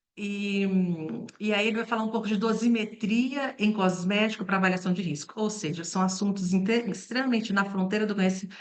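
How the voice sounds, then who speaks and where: This woman talks at a fairly quick pace with a medium pitch and fairly even intonation, over noticeable background noise and audible room echo. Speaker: toxicology professor. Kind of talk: lecture. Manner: hesitant with fillers.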